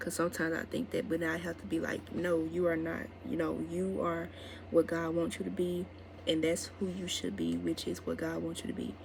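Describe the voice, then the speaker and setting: A woman with a very deep, low pitch speaks at a fairly quick pace with very wide pitch swings. Audible room echo surrounds her voice. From Mississippi, US South. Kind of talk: casual vlog talk to camera.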